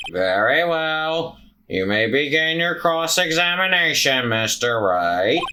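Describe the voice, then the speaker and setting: Using a put-on character voice, a man speaks fairly slowly at a fairly high pitch with lively intonation. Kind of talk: formal courtroom speech. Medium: game stream. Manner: measured, formal.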